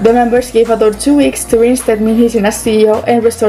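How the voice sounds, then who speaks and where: A woman speaks at a very fast pace with noticeable background noise. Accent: non-native. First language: not English. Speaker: YouTuber commentator. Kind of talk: commentary video narration.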